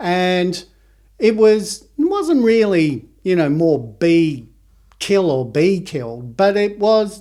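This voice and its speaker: With a dark, mellow tone, a man speaks at a very slow pace using lively intonation. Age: 60s. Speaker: homeopath and author. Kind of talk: casual chat. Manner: halting.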